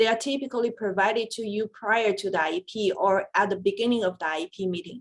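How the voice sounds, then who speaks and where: A woman with a Chinese accent speaks at a medium pitch with ordinary pitch variation. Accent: Mandarin Chinese-accented English. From China. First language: Mandarin Chinese. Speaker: special education attorney. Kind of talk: webinar presentation. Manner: hesitant, with frequent fillers.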